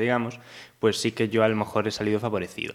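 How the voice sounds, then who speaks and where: Here is an unremarkable speaking voice. The intonation remains fairly even. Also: man. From Galicia, Spain (Pontevedra). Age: 20s. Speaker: singer-songwriter. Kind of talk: casual interview.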